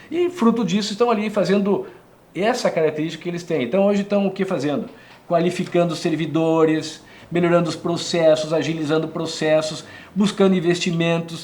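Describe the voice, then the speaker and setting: A man speaks at a fairly quick pace. His pitch is high with ordinary variation. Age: 60s. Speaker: former politician. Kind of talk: interview. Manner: animated.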